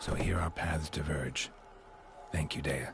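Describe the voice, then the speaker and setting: A put-on character voice at a moderate pace, over clear background noise. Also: man, very deep, low pitch for a man. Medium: game stream. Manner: terse, flat.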